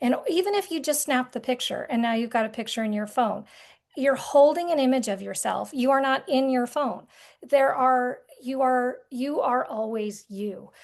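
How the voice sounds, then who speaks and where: A high-pitched woman with an American accent, moderate pace and ordinary pitch variation against a quiet background. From rural Vermont, US. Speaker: artist and art therapy guide. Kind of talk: podcast interview conversation.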